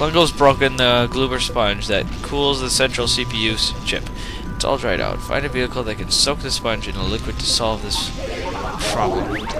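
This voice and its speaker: A man talks at a moderate pace over clear background music, the sound dry with no echo. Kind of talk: casual let's play commentary. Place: home room.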